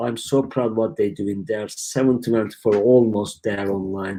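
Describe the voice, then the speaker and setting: A man with a Turkish accent talks at a medium pitch and a moderate pace, his intonation fairly even. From Turkey. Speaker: e-commerce company founder. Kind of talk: live stream Q&A. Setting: live stream from home. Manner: casual, halting.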